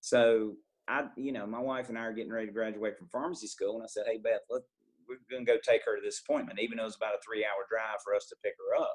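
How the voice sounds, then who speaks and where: The speaker has a Southern accent. The pace is very fast. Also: man. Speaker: pharmacist. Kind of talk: podcast interview.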